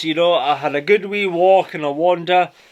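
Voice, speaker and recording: A man with a Scottish accent talks at a moderate pace in a high pitch. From Scotland. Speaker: boating vlogger. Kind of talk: casual vlog talk to camera. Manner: casual, chatty with fillers.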